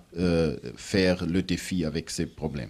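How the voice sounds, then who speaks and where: Recorded very cleanly against a silent background, a man with a German accent speaks at a very slow pace in a dark, mellow tone. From Germany. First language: German (speaking French). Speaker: international organization official, former minister. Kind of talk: panel discussion. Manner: halting.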